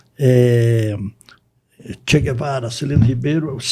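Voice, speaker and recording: Somewhat breathy and dark, mellow in tone, a man speaks with ordinary pitch variation. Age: 70s. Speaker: lawyer and professor. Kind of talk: interview. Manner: halting.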